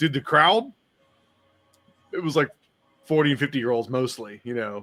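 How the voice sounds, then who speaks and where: A man with fairly high pitch and ordinary pitch variation, music playing in the background. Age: middle-aged. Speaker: podcast host. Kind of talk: casual chat. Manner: animated.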